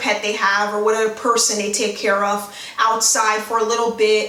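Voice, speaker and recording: A woman with an American accent talks at a moderate pace in a fairly high voice. The room echo is audible, and there is noticeable background noise. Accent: New York accent with hints of Caribbean. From New York City, the Bronx. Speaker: YouTuber. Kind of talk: casual vlog talk to camera. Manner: casual, many fillers.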